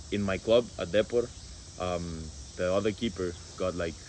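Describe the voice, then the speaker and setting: Very deep and low in pitch, a man with a Spanish accent talks at a fairly slow pace with fairly even intonation and long, frequent pauses. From Guatemala. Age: 20s. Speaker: college football goalkeeper. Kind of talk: casual interview. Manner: halting with many fillers.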